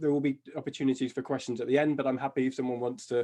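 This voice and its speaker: Very fast and fairly high-pitched, a man speaks with a British accent and fairly even intonation. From UK. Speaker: job crafting consultant and author. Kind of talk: webinar presentation. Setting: video call.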